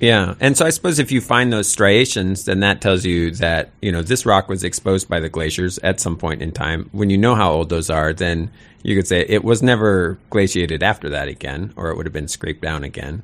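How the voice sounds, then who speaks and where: With a very deep, low pitch and ordinary pitch variation, a man talks at a fairly quick pace with hardly any pauses. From Sitka, Southeast Alaska. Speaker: nature radio show host. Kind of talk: casual interview.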